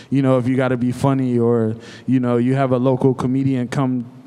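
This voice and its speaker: A man with an American accent talks at a medium pitch and a moderate pace. His intonation is monotone and flat, with noticeable background noise. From Cleveland, Ohio. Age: 30s. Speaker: restaurant owner. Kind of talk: live panel discussion. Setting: stage with audience.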